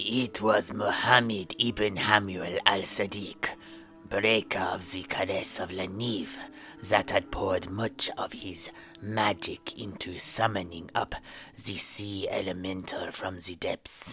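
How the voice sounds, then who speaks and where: A man uses a put-on character voice, fairly low in pitch and flat in intonation. He speaks at a fairly slow pace over clear music in the background. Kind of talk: solemn epic storytelling. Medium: audio drama. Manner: ceremonious, measured, archaic phrasing.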